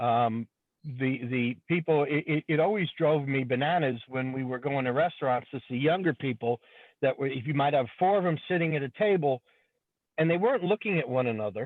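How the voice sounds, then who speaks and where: Here a man talks at a fairly quick pace in a fairly high pitch. His pitch variation is ordinary. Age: 60s. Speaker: auto repair shop owner. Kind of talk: open forum discussion. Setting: in a car. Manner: halting, repeats words.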